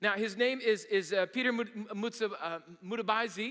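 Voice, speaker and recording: A man speaks in a raised, projected voice with a high pitch and a bright, sharp tone. His delivery is energetic and fairly quick, with ordinary pitch variation. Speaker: pastor. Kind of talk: sermon.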